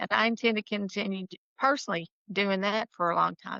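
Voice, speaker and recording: This woman has a plain, everyday voice. She talks at a moderate pace with ordinary pitch variation. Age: 60s. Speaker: real estate attorney. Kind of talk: casual chat.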